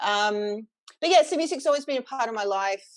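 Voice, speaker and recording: The speaker has an Australian accent and lively intonation. The background stays quiet. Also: woman. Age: 40s. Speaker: singer and sound healer. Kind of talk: casual interview chat.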